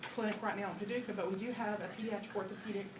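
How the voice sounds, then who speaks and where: The speech comes at a very fast pace in a monotone, flat intonation, with audible room echo and noticeable background noise. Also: woman. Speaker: nurse. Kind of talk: presentation to parents.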